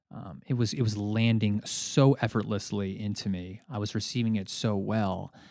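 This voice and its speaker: At a moderate pace and with hardly any pauses, a man speaks at a fairly low pitch with fairly even intonation, on a very clean recording with a silent background. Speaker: podcast host and coach. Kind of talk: solo monologue podcast. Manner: halting, filler words; conversational, warm.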